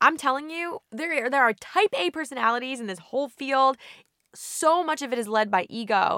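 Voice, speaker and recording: Bright and sharp, a woman's raised, projected voice with an American accent runs high in pitch, with an animated tone, lively intonation and a moderate pace, in a dry, close sound with no echo. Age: 30s. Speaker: state senator. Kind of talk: interview.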